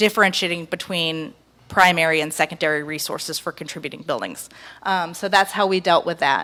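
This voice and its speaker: A woman's bright, sharp tone comes at a fairly low pitch and fairly quick pace with fairly even intonation, in a very clean recording with a silent background. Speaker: historic preservation consultant. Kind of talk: public presentation. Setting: public meeting with audience. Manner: soft-spoken; hesitant, many filler ums.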